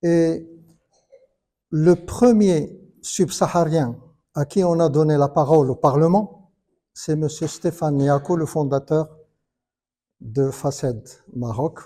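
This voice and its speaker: A man talks at a very slow pace with a fairly high pitch and long, frequent pauses. The recording is very clean, with a silent background. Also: ordinary pitch variation. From Morocco, Casablanca. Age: 60s. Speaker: conference panelist. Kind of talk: panel discussion. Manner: halting.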